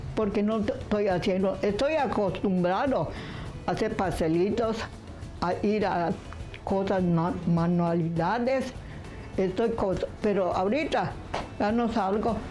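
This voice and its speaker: A woman at a very slow pace, with ordinary pitch variation and long, frequent pauses, over clear music in the background. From Yucatán, Mexico. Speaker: piñata maker. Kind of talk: interview answer. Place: home room.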